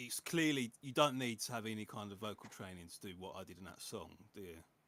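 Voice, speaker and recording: A man rushes along at a very fast pace in a fairly low, bright, sharp voice. His intonation is lively, and his loudness swings widely. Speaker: music producer. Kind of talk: casual chat.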